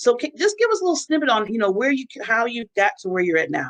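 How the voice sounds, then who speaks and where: A woman speaks loudly with very wide pitch swings. Her tone is bright and sharp. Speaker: talk show host. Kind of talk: interview.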